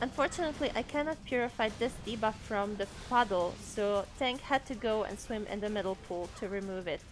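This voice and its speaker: A woman with a non-native accent speaks at a fairly quick pace in a fairly high pitch, with hardly any pauses. Music plays in the background. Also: ordinary pitch variation. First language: not English. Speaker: game guide narrator. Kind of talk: gameplay tutorial voice-over.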